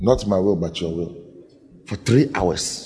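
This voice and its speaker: Somewhat breathy, a man speaks in an animated tone. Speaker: pastor. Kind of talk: sermon. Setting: church.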